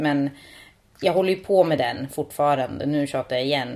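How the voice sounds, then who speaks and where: This woman talks at a moderate pace in a very deep, low pitch. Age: 30s. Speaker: podcast co-host. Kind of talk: casual chat.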